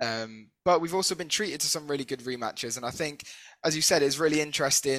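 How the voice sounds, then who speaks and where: In a British accent and with ordinary pitch variation, a man speaks on a very clean recording with a silent background. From Britain. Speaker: podcast co-host. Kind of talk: interview.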